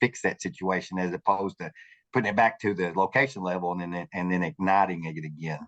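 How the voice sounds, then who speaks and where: The speech comes at a very fast pace. The sound is dry and close with no echo, and the background is quiet. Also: man. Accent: Southern US. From US South. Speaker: customer experience manager. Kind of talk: panel discussion.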